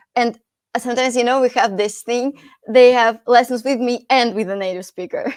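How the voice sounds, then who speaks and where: Her high voice moves at a fairly quick pace with fairly even intonation as this woman speaks. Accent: Russian. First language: Russian. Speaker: English teacher and podcast host. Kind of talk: podcast interview.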